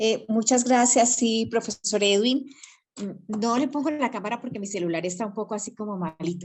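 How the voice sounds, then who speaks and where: Her voice is somewhat breathy and fairly high-pitched, with ordinary pitch variation. The woman keeps a moderate pace. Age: 60s. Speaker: reading club participant, retiree. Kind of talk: casual group discussion. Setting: video call by cell phone, camera off.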